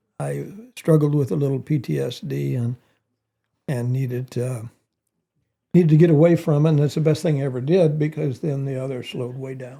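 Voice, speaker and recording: A man's fairly high, somewhat breathy voice with a dark, mellow tone, in a western US accent, at a fairly quick pace with fairly even intonation and long, frequent pauses. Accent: rural western US. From Oregon, rural eastern. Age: 70s. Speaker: war veteran. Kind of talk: interview conversation.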